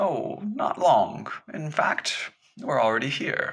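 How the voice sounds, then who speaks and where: Putting on a wheezy character voice, a man speaks at a high pitch and a fairly slow pace. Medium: read story. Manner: gentle, knowing.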